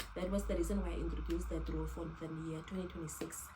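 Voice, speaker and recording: A woman's voice with noticeable background noise and audible room echo. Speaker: lifestyle vlogger. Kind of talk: casual tutorial. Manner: fast.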